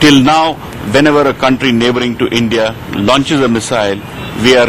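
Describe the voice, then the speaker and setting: A man's medium-pitched voice at a fairly quick pace, with ordinary pitch variation over noticeable background noise. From India. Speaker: science editor, TV reporter. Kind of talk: TV news live interview answer.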